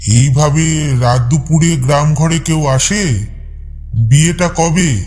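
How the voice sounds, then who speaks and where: A man with a fairly high pitch puts on a character voice, speaking very slowly. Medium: read story. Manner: calm, quietly inquisitive.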